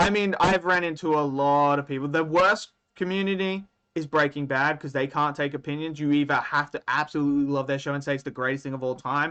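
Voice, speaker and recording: A man speaks at a fairly quick pace with an Australian accent. His pitch is fairly high and his intonation fairly even. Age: 30s. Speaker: anime streamer. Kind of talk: live stream chat. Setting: live stream. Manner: casual, conversational.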